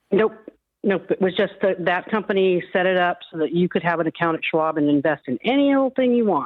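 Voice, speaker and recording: Using a normal speaking voice, a woman of medium pitch talks at a fairly quick pace with lively intonation. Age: 60s. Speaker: caller. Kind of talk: call-in advice conversation. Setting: phone call.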